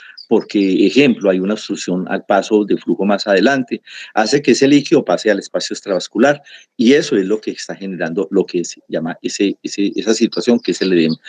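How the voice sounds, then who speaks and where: A man speaks at a fairly quick pace. No echo touches the dry, close sound. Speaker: pathology lecturer. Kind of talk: lecture.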